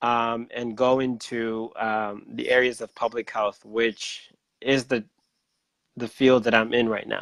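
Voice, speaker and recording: In a dry, close sound with no echo and a quiet background, a man speaks at a fairly slow pace in a medium pitch with monotone, flat intonation. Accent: Central American. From Honduras, northern coast (Garifuna village). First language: Garifuna. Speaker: public health scientist. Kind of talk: interview. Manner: hesitant, many fillers.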